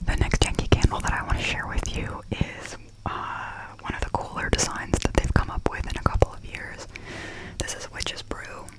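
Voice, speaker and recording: At a moderate pace, someone whispers while noticeable background noise carries on. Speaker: ASMR creator. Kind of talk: ASMR candle haul review. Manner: whispered.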